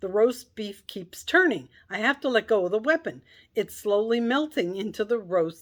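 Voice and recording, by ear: A text is read aloud in a natural voice.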